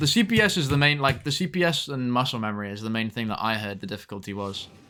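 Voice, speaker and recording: A man with a British accent talks at a very fast pace, with hardly any pauses. His intonation is lively. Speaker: video game streamer. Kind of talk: live gameplay stream chat. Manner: halting, repeating words.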